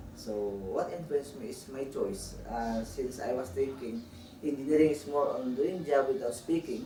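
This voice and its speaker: The delivery has lively intonation at a moderate pace, with audible room echo and noticeable background noise. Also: man, medium pitch for a man. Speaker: professor. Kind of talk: interview. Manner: halting.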